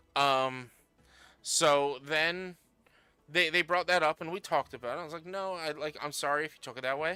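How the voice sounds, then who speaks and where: Music plays behind a man with a fairly high pitch. He speaks at a moderate pace with lively intonation. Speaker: gaming livestreamer. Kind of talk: casual chat. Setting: livestream while gaming. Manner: loud; halting.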